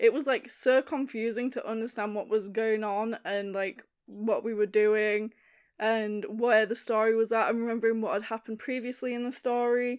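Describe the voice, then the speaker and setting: A woman's fairly high voice with monotone, flat intonation. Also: moderate pace. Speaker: content creator. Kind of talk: casual talk to camera.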